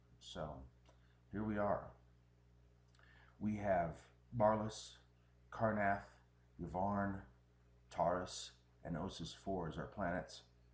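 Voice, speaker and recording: With audible room echo, a man speaks at a very slow pace and fairly low pitch, showing ordinary pitch variation and long, frequent pauses. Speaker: game commentator. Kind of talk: live commentary.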